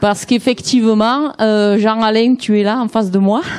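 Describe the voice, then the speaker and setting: A woman speaks at a fairly slow pace with a dark, mellow tone and a Provençal accent. Her pitch is fairly high, and her intonation stays fairly even. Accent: southern French (Provence). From Provence, southern France. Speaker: party activist. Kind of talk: speech at a political event.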